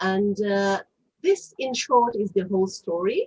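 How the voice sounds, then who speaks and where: In an Israeli accent, a woman speaks at a very slow pace in a somewhat breathy voice. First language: Hebrew. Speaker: author. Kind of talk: interview. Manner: halting, many fillers.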